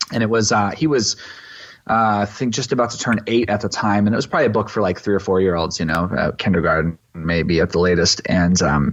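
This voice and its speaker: A man with an American accent and a normal speaking voice, fairly low in pitch, at a fairly quick pace with ordinary pitch variation and very even loudness. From East Texas. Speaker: pastor. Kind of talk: podcast interview answer.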